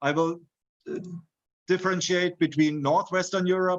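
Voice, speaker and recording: A man speaks with a German accent. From Germany. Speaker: university lecturer. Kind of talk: lecture. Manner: halting, frequent fillers.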